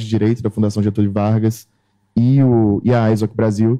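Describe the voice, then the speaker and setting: A man's dark, mellow voice, monotone and flat in intonation, at a fairly quick pace. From Brazil. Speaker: panelist, internet governance youth representative. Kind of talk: conference panel talk. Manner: halting, many fillers.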